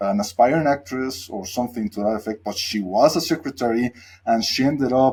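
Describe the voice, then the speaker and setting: A man with a Spanish accent speaks at medium pitch in a dark, mellow tone. His pace is moderate, with ordinary pitch variation. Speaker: podcast host. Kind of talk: casual interview.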